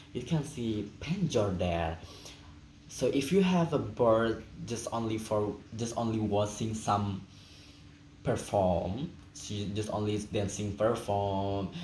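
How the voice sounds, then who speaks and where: A man at a very slow pace, with long, frequent pauses, ordinary pitch variation and audible room echo. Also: fairly low pitch for a man. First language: Indonesian or Balinese. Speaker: student. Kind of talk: class presentation, unscripted. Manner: halting.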